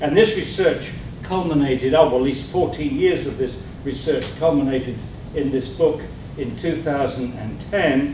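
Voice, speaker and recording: At a moderate pace and with ordinary pitch variation, the speech carries audible room echo and noticeable background noise. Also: man, fairly high pitch for a man. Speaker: scientist and anti-fluoridation campaigner. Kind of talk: public presentation. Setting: committee room with audience.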